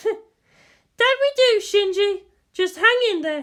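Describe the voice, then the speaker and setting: In a put-on character voice, a squeaky, female-sounding speaker talks at an extremely high pitch and a very slow pace. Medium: read story. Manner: curt, commanding.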